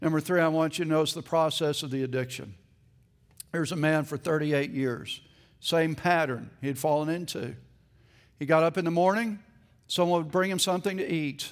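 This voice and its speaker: The speaker moves at a fairly quick pace with long, frequent pauses on a very clean recording with a silent background. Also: man, fairly high pitch for a man, ordinary pitch variation. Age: 30s. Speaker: pastor. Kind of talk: sermon. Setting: church.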